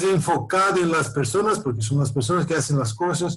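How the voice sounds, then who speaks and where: A man speaks with a high pitch, and the room echo is audible. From Brazil. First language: Portuguese (speaking Spanish). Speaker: professor. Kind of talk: lecture. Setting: video call. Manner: halting, many repetitions and fillers.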